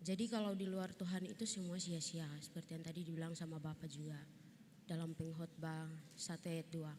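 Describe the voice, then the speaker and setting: Somewhat breathy and dark, mellow in tone, a woman speaks at a fairly quick pace with fairly even intonation. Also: fairly low pitch for a woman. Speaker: theology student presenting group discussion. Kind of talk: group presentation in class. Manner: halting, many fillers.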